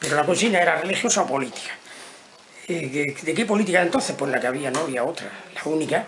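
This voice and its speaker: Very fast male speech, fairly high in pitch with lively intonation, over noticeable background noise. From Andalusia, Almería. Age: 70s. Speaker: retired teacher. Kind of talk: interview testimony. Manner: halting.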